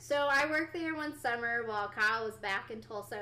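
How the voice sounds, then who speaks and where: Bright and sharp in tone, a woman with an American accent speaks fairly quickly at a fairly high pitch with lively intonation. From Oklahoma, Ardmore. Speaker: business owner, angler's wife. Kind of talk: casual chat.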